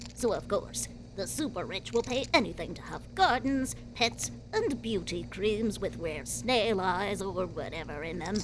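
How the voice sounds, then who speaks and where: Clear background noise sits behind a female-sounding put-on character voice moving at a moderate pace. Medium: audio drama.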